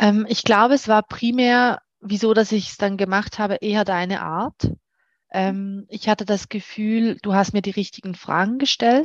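Fairly slow, medium-pitched female speech with fairly even intonation and a dry, close sound without echo. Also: quiet background. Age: 30s. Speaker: client of a dating coach, works in HR. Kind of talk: interview, personal testimony. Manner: hesitant with many fillers.

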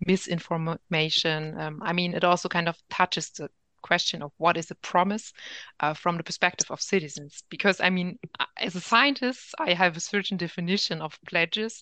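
The voice has a German accent and a bright, sharp tone. The sound is dry and close with no echo, over a quiet background. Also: woman. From Germany. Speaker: political science professor. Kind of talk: interview. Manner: hesitant, many fillers.

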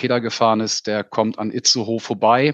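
At a moderate pace, a man talks at medium pitch. He has an unremarkable speaking voice. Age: 40s. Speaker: insurance sales manager. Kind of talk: casual interview.

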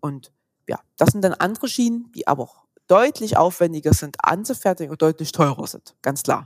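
A woman's fairly low voice at a moderate pace, with very wide pitch swings, big swings in loudness, and a dry, close sound with no echo. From Saxony, eastern Germany. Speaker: physiotherapist. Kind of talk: interview.

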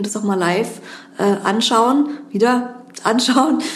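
A woman speaks at a fairly high pitch. The room echo is audible and the background noise is noticeable. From Berlin, Germany. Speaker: criminal defence lawyer. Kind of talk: interview. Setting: law office.

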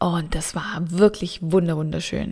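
A woman speaks at a very slow pace in a dark, mellow tone. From southern Germany. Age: 30s. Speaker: energy work coach. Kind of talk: podcast monologue. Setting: home studio.

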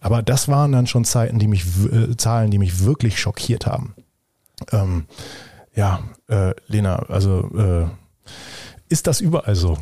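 A man speaks fairly slowly in a fairly low, somewhat breathy voice with a dark, mellow tone and ordinary pitch variation. His loudness stays very even, and he takes long, frequent pauses. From Germany. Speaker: podcast host. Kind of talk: interview. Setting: office at a university.

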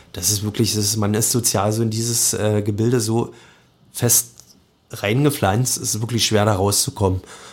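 A man at a fairly low pitch, somewhat breathy, with fairly even intonation and a moderate pace. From Lusatia, Brandenburg (Sorbian-Wendish area near Cottbus). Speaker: chef and soup restaurant owner. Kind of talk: casual interview. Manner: hesitant, many fillers.

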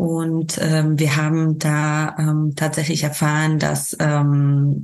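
The woman speaking has a very deep, low pitch. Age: 30s. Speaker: bereaved mother, volunteer with a parent support association. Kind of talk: personal testimony in an interview. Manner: many hesitations and fillers.

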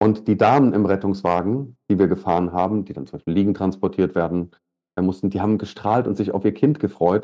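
Here a man talks at a fairly quick pace in a plain, everyday voice. His pitch is fairly low, with ordinary pitch variation. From Taunus, Hesse, Germany. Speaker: leadership coach and driving instructor. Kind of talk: interview.

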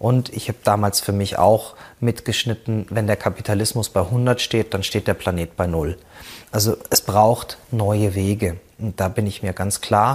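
A man speaks at a fairly slow pace with fairly even intonation. His voice is fairly low and somewhat breathy. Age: 40s. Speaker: cooperative founder and business consultant. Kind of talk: presentation talk.

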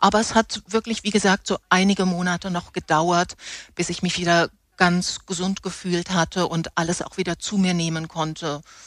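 A woman with a fairly low pitch speaks in a monotone, flat intonation at a moderate pace, with a dry, close sound and no echo. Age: 50s. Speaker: theatre props master, former travel agency worker. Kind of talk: interview, personal testimony.

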